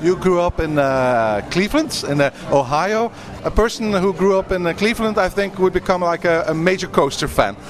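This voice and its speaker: Over noticeable background noise, the speaker talks at a moderate pace with lively intonation, hardly any pauses, and a Dutch accent. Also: man, high pitch for a man. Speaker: podcast interviewer. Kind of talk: casual interview.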